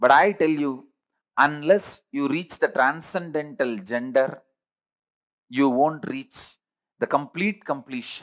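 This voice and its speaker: A man with a South Indian accent at a fairly slow pace, with ordinary pitch variation. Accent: South Indian village English. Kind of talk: spiritual talk.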